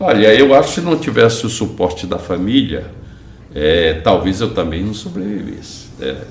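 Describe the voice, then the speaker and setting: A man with a fairly low pitch and very wide pitch swings, at a moderate pace, with audible room echo and noticeable background noise. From Brazil, Bahia (Porto Seguro). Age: 70s. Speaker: real estate entrepreneur. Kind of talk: interview.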